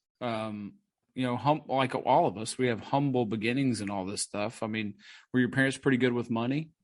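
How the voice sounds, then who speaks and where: Against a quiet background, a man speaks in a normal speaking voice at medium pitch. His pace is fairly quick and his intonation fairly even. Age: 40s. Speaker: podcast host. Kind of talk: casual chat.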